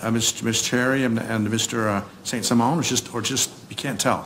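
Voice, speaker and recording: There is noticeable background noise behind this man. He talks at a moderate pace with fairly even intonation. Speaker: defense attorney. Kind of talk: courtroom cross-examination and argument. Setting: courtroom.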